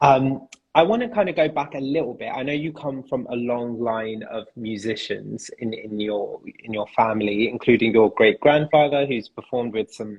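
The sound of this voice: A man speaks at medium pitch with a slightly husky edge. His pace is moderate and his pitch varies in an ordinary way.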